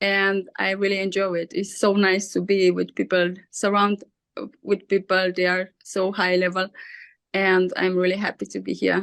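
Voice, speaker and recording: With an Austrian accent, a woman speaks at a medium pitch and a moderate pace. Her intonation is monotone and flat. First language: German. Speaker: coaching program member. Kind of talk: casual chat.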